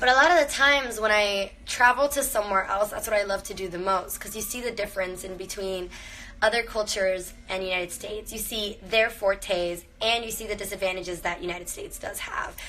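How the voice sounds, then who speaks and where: A woman with an American accent and a plain, everyday voice talks at a fairly quick pace with hardly any pauses, medium pitch, ordinary pitch variation and big swings in loudness. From Miami, Florida (born Venezuela, Cuban parents). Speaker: actress. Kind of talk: livestream casual chat. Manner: casual, filler-heavy.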